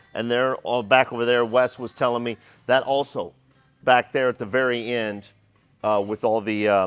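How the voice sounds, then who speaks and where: A man speaks at a moderate pace in an energetic tone, his medium-pitched voice dry and close with no echo while music plays in the background. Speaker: company video host. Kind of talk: walkthrough tour. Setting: service floor of a workshop.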